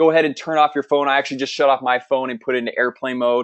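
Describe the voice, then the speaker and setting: A medium-pitched male voice at a very fast pace. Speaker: webinar presenter, software marketer. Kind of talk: sales webinar. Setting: online webinar. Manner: fast when excited; upbeat, casual.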